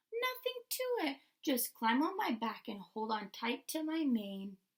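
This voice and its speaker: A put-on character voice from a woman, pitched high, moderate in pace. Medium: read story.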